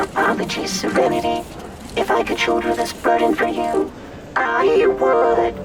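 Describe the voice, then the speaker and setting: A man performs a put-on character voice at a moderate pace. Clear music is in the background. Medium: audio drama. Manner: formal, ceremonious.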